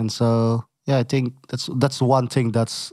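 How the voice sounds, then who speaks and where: A dark, mellow tone in a Filipino accent, monotone and flat, at a fairly slow pace, dry and close with no echo on a very clean recording with a silent background. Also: man. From Philippines. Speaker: officer, minister. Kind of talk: casual interview chat. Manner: halting.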